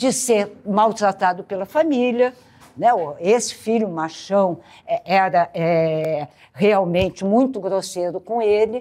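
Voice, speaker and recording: Very slowly and with lively intonation, a woman speaks in a dark, mellow tone. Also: medium pitch for a woman. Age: 70s. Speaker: lecturer on Alzheimer's, family caregiver. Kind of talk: lecture. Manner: conversational, informal.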